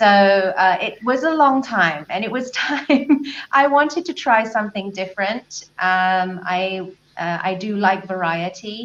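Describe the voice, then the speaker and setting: With a southern English accent, a woman speaks at a fairly slow pace in a medium pitch with lively intonation. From southern England, Brighton. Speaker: life and business coach. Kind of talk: interview.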